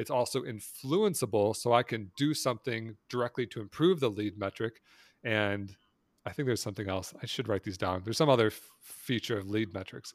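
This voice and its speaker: In a very clean recording with a silent background and a dry, close sound with no echo, a man with a plain, everyday voice speaks at a medium pitch and a fairly quick pace, with ordinary pitch variation. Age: 40s. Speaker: investor and entrepreneur. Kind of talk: interview.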